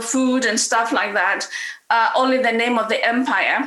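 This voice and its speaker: There is audible room echo and noticeable background noise. A woman speaks with a high pitch. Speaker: author and comedian. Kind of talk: panel talk. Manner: halting.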